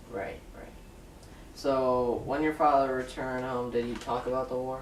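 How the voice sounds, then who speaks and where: Amid noticeable background noise, a man with a medium pitch speaks at a moderate pace in a monotone, flat intonation while his loudness swings a lot. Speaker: interviewer. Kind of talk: interview questions.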